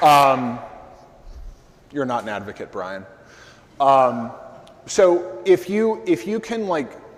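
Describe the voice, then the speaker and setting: Very slow speech from a man with fairly high pitch, very wide pitch swings, long, frequent pauses and noticeable background noise. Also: big swings in loudness. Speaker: conference speaker on SEO. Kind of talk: conference talk with audience Q&A. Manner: loud; casual, filler-heavy.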